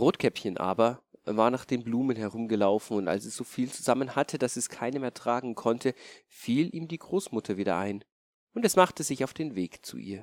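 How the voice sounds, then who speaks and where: With an ordinary speaking voice, a man talks at a moderate pace, his intonation lively and his loudness swinging widely. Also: medium pitch for a man, very clean recording, silent background. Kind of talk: bedtime story telling. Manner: calm, storyteller's pace, gentle; changes voice for wolf, mother and grandmother.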